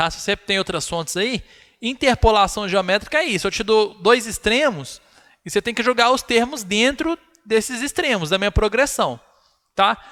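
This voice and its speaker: Raising and projecting his voice, a man speaks at a high pitch and moderate pace with a bright, sharp tone and lively intonation, in a dry, close sound with no echo. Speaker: math teacher. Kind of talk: live online lecture.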